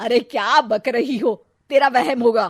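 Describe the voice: A woman puts on a character voice with a fairly high pitch, a fairly bright tone, and a slightly husky edge. She uses vocal fry and ordinary pitch variation at a fairly slow pace.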